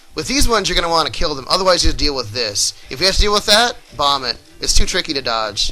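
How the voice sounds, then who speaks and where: Very fast speech from a man, fairly high in pitch with very wide pitch swings, music in the background. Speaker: video game let's play commentator. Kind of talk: gameplay tutorial commentary.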